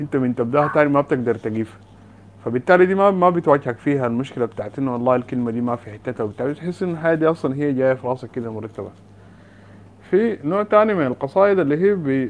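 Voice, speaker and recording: Talking at a very fast pace, a man uses a fairly high-pitched voice with lively intonation. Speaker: poet taking part in session. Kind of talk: literary discussion. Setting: online call.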